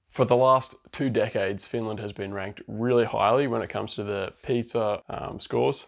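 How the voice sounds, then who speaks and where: A man's fairly quick speech in a strong Australian accent. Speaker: vlogger, international student. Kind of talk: casual vlog monologue. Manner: fast.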